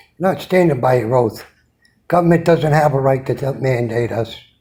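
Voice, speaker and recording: In an American accent, a man speaks at a moderate pace with a fairly high pitch and ordinary pitch variation. His somewhat breathy voice has a dark, mellow tone. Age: 70s. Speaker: military veteran. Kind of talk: rant.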